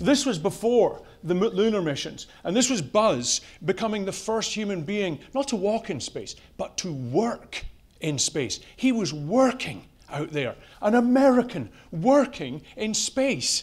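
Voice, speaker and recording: Speaking at a fairly slow pace, a man with a high pitch uses very wide pitch swings and an animated tone. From Europe. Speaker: company CEO, conference speaker. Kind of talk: conference talk.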